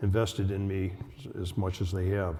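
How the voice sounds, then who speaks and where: The tone is dark and mellow, somewhat breathy. The pace is moderate. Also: man. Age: 70s. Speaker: patient with Alzheimer's in a buddy program. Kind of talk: prepared speech at a symposium. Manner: halting, repeating words.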